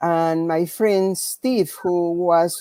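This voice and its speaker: Speaking with a Spanish accent, a woman with fairly low pitch comes through dry and close with no echo. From Peru. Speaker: physical therapist. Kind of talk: panel discussion. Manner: slow.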